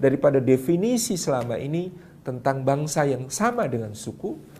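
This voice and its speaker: Room echo is audible as a man talks at a fairly quick pace in a fairly high voice. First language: Javanese (speaking Indonesian). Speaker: Islamic preacher. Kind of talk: religious lecture. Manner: halting with fillers.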